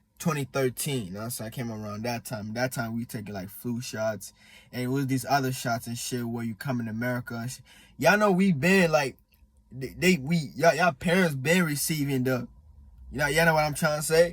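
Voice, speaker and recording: A somewhat breathy man with an East African accent, medium pitch, lively intonation, big swings in loudness and a fairly quick pace, in a very clean recording with a silent background. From born in Congo, partly raised in Malawi, in the US since 2013. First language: Swahili. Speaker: vlogger. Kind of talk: casual monologue. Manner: halting, many fillers.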